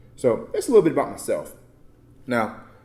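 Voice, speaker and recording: A man speaks with an American accent. Room echo is audible. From Texas, Baytown near Houston. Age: 20s. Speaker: motivational speaker and nonprofit founder. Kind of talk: conference talk. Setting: conference session with audience. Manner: casual, conversational.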